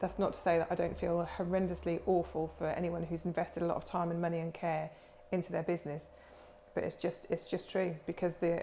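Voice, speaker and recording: A woman with a Norfolk accent speaks in a dark, mellow, somewhat breathy voice that is fairly low in pitch, with monotone, flat intonation. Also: fairly quick pace. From England, Norfolk. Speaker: aesthetics practitioner, clinic owner. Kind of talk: informal talk-to-camera explainer. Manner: rambling, many fillers.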